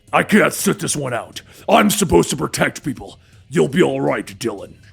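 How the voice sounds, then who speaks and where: Growling in a put-on character voice, a man speaks at a fairly high pitch and moderate pace. His pitch swings very widely. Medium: read story.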